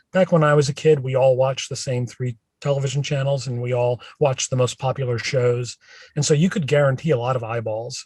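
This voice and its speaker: A man speaks at a fairly quick pace with a medium pitch. His voice is somewhat breathy, with fairly even intonation. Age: 60s. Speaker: professor of branding. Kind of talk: casual interview. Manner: many fillers, conversational.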